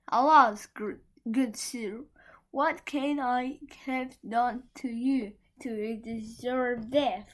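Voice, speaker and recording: Shaky and very slow, a put-on character voice holds fairly even intonation. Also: woman, high pitch for a woman. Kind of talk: fairy tale read aloud. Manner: pleading, trembling.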